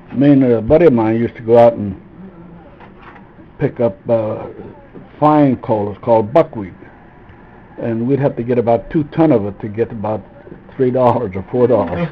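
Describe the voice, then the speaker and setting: A man's medium-pitched voice with ordinary pitch variation and long, frequent pauses, over noticeable background noise. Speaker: grandfather. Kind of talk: storytelling interview answer.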